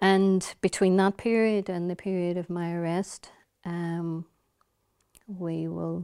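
Speaking with a Northern Irish accent, a woman talks at a very slow pace with long, frequent pauses in a fairly low, dark, mellow voice and monotone, flat intonation, on a dry, close recording with no echo that is very clean and has a silent background. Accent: Derry Northern Irish. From Derry, Northern Ireland. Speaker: politician. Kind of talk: interview.

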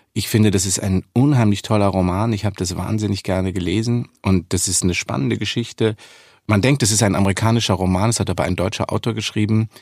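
Very fast and with fairly even intonation, a man speaks at a fairly low pitch on a very clean recording with a silent background. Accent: slight Bavarian. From Munich, Bavaria. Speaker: actor and voice actor. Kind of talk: interview.

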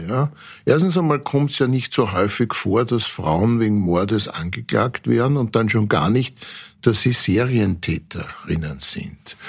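In a plain, everyday voice, a man talks at a fairly slow pace with medium pitch and lively intonation on a very clean recording with a silent background. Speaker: forensic pathologist. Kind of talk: interview.

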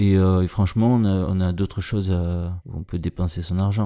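With a dark, mellow tone, a man talks in a very deep, low pitch. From Marseille, southern France. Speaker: singer and poet. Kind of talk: casual interview. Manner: halting, repeating words.

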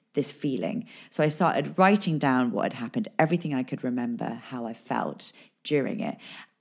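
A woman with a very deep, low pitch and very wide pitch swings at a moderate pace, on a very clean recording with a silent background. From England. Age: 20s. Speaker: actress and podcaster. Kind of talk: casual interview.

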